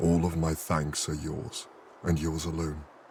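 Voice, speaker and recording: Putting on a character voice, a man speaks at a moderate pace with a very deep, low pitch over clear background noise. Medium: video game. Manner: formal, eloquent.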